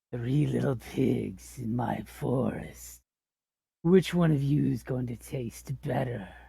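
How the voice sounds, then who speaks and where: A loud, growling put-on character voice at a low-to-middle pitch and a fairly slow pace. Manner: menacing.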